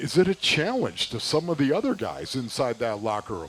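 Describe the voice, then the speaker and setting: A man with a fairly high pitch speaks with very wide pitch swings over noticeable background noise. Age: 60s. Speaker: radio co-host, former football player. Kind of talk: casual sports talk. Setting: live show at a restaurant.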